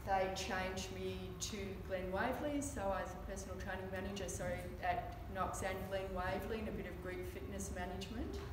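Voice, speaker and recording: A woman speaks at a fairly quick pace. Noticeable background noise and audible room echo surround her voice. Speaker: fitness trainer giving a talk. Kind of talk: presentation talk. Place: meeting room. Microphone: camera far.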